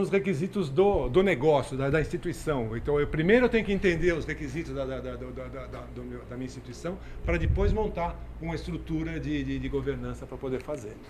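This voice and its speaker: A man talks at a fairly quick pace with big swings in loudness, and audible room echo surrounds him. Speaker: lecturer on IT governance. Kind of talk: lecture. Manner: fast; halting, many repetitions.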